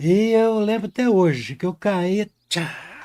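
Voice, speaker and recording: A man speaks at a very slow pace with ordinary pitch variation. The recording is very clean, with a silent background. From Brazil, rural countryside. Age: 60s. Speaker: painting teacher. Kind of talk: live painting tutorial with storytelling. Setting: live stream. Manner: casual, folksy.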